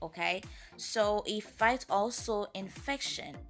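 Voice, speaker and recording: Over music in the background, a woman speaks at a very slow pace with ordinary pitch variation. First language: French and Creole. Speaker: natural hair care YouTuber. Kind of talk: casual talk to camera.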